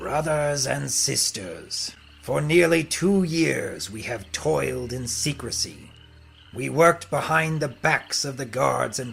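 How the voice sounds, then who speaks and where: A man uses a put-on character voice at a medium pitch. He goes at a fairly slow pace against clear background noise. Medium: audio drama. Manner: grandiose, menacing.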